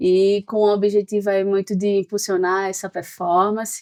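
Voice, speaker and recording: A woman with a Pernambuco accent speaks at a fairly slow pace in a medium pitch. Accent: Pernambuco Brazilian Portuguese. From Pernambuco, Brazil. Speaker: sales executive. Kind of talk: podcast interview.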